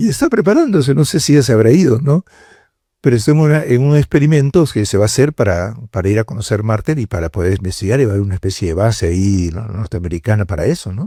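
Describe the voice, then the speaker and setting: A man speaks at a very fast pace, his pitch swinging very widely. His tone is dark and mellow, and somewhat breathy. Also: medium pitch for a man, very clean recording, silent background. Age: 70s. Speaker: cardinal and priest giving a lecture. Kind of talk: lecture to university students. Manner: conversational, with hesitations.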